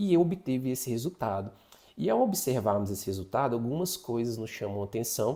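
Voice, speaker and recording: A man speaks fairly quickly in a somewhat breathy, dark, mellow voice with very wide pitch swings, on a very clean recording with a silent background. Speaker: psychologist teaching an online course. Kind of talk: lecture. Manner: fast.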